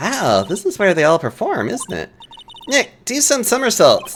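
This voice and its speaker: Here a woman uses a put-on character voice. It sits high in pitch. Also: moderate pace. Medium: game stream.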